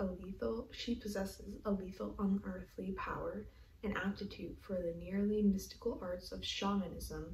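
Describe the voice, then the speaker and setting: Background noise is clearly noticeable here. The woman speaking keeps to a moderate tempo. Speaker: ASMR creator. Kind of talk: reading aloud from a novel and its summary, ASMR-style. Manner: whispered, soft.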